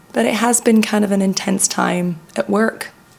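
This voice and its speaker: The woman's medium-pitched voice varies in an ordinary way while noticeable background noise carries on. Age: 30s. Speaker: vlogger. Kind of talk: personal vlog monologue. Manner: conversational.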